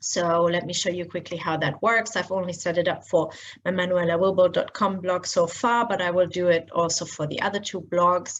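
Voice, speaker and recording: A woman speaks at a moderate pace and medium pitch. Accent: German. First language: German. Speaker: blogger and SEO trainer. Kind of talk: screen-share tutorial. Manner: casual, many filler words.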